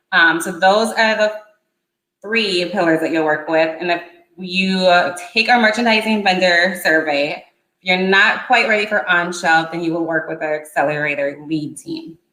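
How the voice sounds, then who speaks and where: A woman speaks in a plain, everyday voice at a fairly low pitch and a moderate pace. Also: ordinary pitch variation. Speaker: retail vendor development manager. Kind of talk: presentation.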